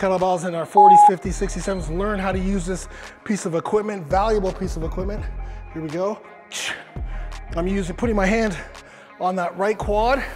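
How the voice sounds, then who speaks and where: Over clear music in the background, a man speaks with long, frequent pauses. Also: moderate pace. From Canada. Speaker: fitness coach leading a workout video. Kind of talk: workout tutorial instruction. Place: gym. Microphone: lapel.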